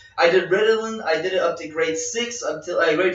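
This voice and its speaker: Over music in the background, a man with a slight French accent talks at a moderate pace in a high pitch, with ordinary pitch variation. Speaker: podcast co-host. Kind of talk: casual chat.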